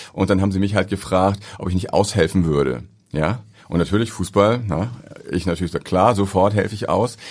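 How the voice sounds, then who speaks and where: Talking at a fairly quick speed, a man has an ordinary speaking voice. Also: fairly low pitch for a man, ordinary pitch variation. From northern Germany, Ahrensburg near Hamburg. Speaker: airport pastor. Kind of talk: interview conversation. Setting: studio.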